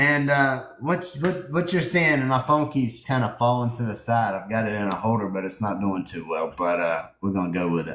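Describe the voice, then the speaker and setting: A man speaks at a moderate pace, his pitch swinging very widely. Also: medium pitch for a man, hardly any pauses. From US South. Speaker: livestream host. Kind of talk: casual chat.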